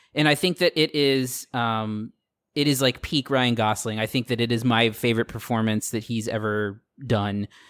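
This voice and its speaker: An unremarkable speaking voice with an American accent moves at a moderate pace with ordinary pitch variation. The recording is very clean, with a silent background and a dry, close sound with no echo. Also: man, medium pitch for a man. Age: 30s. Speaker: podcast co-host. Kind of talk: casual chat.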